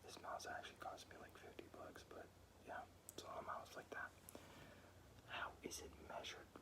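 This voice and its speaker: Whispering at a moderate pace, with long, frequent pauses. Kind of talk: casual talk to camera reading quiz questions. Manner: casual, conversational, chatty.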